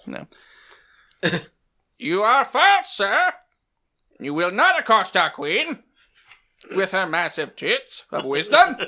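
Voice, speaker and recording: A man's put-on character voice, high in pitch, at a fairly slow pace with long, frequent pauses. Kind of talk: mock-formal. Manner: mock-indignant.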